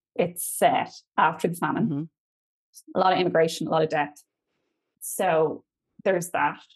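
A woman speaks at a moderate pace in a fairly low voice. Her intonation is fairly even, broken by long, frequent pauses. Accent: Irish. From Ireland, County Kildare. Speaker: Irish language teacher and folklore storyteller. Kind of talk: storytelling interview.

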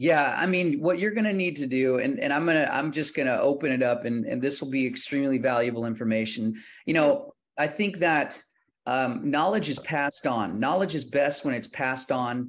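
A man with an American accent uses an ordinary speaking voice, fairly high in pitch with ordinary pitch variation. He talks at a fairly quick pace over a quiet background. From Texas, Houston. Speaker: country singer-songwriter. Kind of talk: interview.

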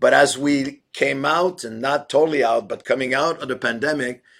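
In a very clean recording with a silent background, a man talks in an ordinary speaking voice at a medium pitch and a moderate pace. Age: 60s. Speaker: pastor. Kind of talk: interview.

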